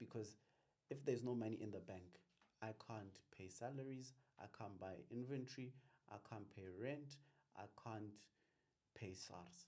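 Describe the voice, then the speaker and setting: With a South African accent, a man talks at a fairly slow pace in a medium pitch, his dark, mellow tone rising and falling in an ordinary way between long, frequent pauses. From Limpopo, South Africa. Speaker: business accountant and tax practitioner. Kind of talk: interview answer.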